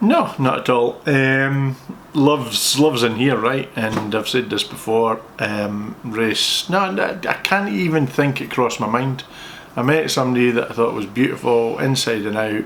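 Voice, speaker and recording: Over noticeable background noise, a man with a medium-pitched voice talks at a fairly slow pace with ordinary pitch variation. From Scotland. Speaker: accountant answering viewer questions. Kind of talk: casual Q&A chat. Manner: talkative, playful.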